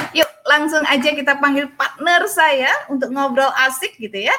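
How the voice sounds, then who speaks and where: Speaking at a moderate pace, a woman uses a high-pitched voice. She raises and projects it. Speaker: podcast host. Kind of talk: casual chat. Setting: outdoors. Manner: animated.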